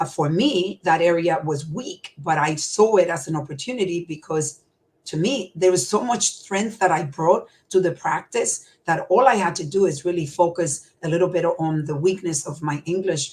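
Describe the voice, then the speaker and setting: A woman with a fairly low pitch and a somewhat breathy voice talks at a moderate pace with ordinary pitch variation. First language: Spanish. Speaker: healthcare executive and entrepreneur. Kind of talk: interview.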